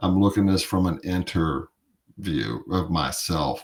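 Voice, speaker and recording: A man mumbles at a moderate pace with ordinary pitch variation. His pitch is very deep and low. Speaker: podcast host. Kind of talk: personal reflection monologue. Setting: home studio. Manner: mumbling; halting.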